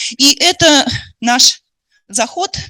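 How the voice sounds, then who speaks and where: A woman's bright, sharp tone, dry and close with no echo. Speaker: education expert lecturer. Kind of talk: lecture. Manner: fast.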